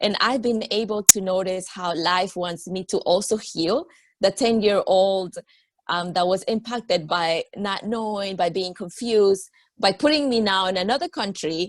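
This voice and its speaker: There is a woman at a medium pitch, with ordinary pitch variation. She keeps a moderate pace. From Peru, then Miami from age ten. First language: Spanish. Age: 40s. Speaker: yoga teacher and energy coach. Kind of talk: interview.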